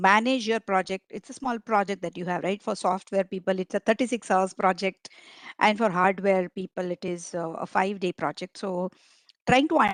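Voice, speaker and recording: Over a quiet background, a woman talks at a moderate pace with a Marathi accent, her medium pitch showing ordinary variation in a dry, close sound with no echo. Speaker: agile coach and trainer. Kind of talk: online training lecture. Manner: hesitant with frequent fillers.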